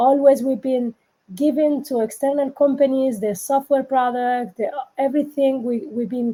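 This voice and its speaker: A woman with a Spanish accent and a dark, mellow tone speaks at a moderate pace with fairly even intonation. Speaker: politician. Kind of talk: panel discussion. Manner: halting.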